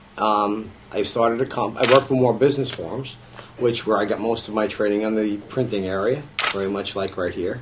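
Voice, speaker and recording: Fairly low male pitch and fairly even intonation over noticeable background noise. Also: fairly quick pace. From New York. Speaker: political candidate and business owner; candidate. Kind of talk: campaign interview. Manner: halting, many fillers. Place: meeting room. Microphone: camera far.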